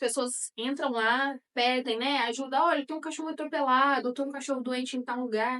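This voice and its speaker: A woman's high-pitched voice, bright and sharp in tone, with ordinary pitch variation and a moderate pace. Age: 30s. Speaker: animal welfare activist. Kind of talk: interview. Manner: halting, many fillers.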